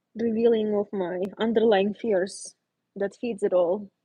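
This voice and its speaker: A woman with a non-native accent speaks at a fairly slow pace in a fairly high, somewhat breathy voice with a dark, mellow tone. The sound is dry and close, with no echo. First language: not English. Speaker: visual artist. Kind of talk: casual livestream chat. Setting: home art studio, livestream. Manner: relaxed, conversational.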